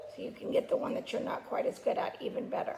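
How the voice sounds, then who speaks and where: The voice moves at a fairly quick pace over noticeable background noise. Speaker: gymnastics coach. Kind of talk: tutorial. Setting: home video recording.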